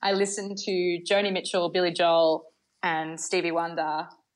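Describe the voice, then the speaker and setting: Over a quiet background, a woman with an Australian accent speaks fairly low at a moderate pace. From Australia, Bathurst, New South Wales. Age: 20s. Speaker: singer-songwriter and pianist. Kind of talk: casual interview. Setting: remote interview from home.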